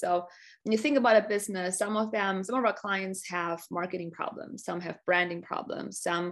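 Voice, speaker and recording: A woman speaks with a German accent against a quiet background. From Germany. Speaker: business strategy coach. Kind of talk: customer testimonial on a live webinar. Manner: enthusiastic, with many fillers and repeated words.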